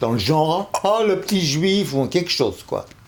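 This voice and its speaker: A man speaks with vocal fry. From Paris, Belleville. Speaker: television director. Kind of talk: personal testimony. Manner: hesitant.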